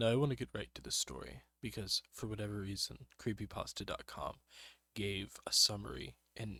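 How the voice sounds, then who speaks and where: A man whispers at a moderate pace. He is soft-spoken. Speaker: YouTuber doing commentary readings. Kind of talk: ASMR reading aloud with commentary. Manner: alternating soft-spoken and whispering.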